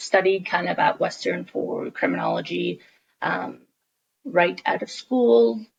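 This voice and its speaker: At a fairly slow pace, a woman speaks with a Canadian accent. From Toronto, Canada. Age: 20s. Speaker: podcast host. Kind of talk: casual chat. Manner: hesitant, many fillers.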